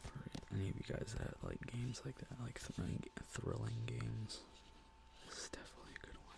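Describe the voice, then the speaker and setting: Someone whispers at a fairly quick pace. Noticeable background noise sits behind the whisper. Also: man. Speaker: ASMR content creator. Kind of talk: ASMR gaming haul video. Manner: soft-spoken, whispery.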